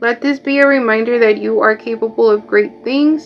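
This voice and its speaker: In a Mexican accent, the speaker talks at a moderate pace with fairly even intonation. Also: woman. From Mexico. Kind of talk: motivational.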